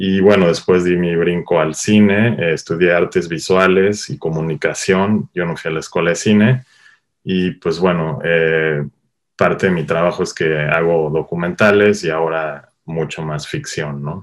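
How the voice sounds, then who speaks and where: Very deep and low, this man's voice sits far down in pitch. His intonation stays fairly even. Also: fairly slow pace. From Mexico, Cuernavaca, Morelos. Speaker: cinematographer. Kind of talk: interview. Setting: online call.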